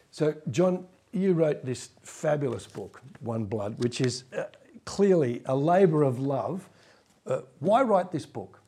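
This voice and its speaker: Speaking at a very slow pace, a man with a fairly high, somewhat breathy voice and a dark, mellow tone makes very wide pitch swings. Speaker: interviewer and podcast host. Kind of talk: interview.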